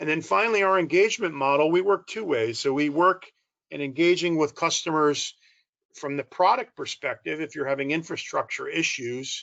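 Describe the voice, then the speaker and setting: In an American accent, a man with an unremarkable speaking voice talks at a moderate pace, his pitch fairly high and its variation ordinary. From United States. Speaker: corporate strategy executive. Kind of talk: conference presentation.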